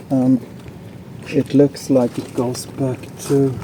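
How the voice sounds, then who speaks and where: A very slow delivery over noticeable background noise. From Sweden. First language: Swedish. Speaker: DIY tool and gear video maker. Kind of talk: tutorial with running commentary.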